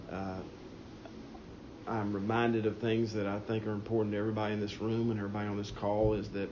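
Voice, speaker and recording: Over audible room echo, a man with a Southern US accent speaks fairly quickly in a fairly low, monotone voice with flat intonation. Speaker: state treasurer. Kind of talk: press teleconference Q&A. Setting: phone call. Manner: halting.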